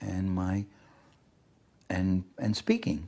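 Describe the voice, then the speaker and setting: A man's voice has a fairly low pitch and a dark, mellow tone. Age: 70s. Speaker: political writer and speaker. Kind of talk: interview.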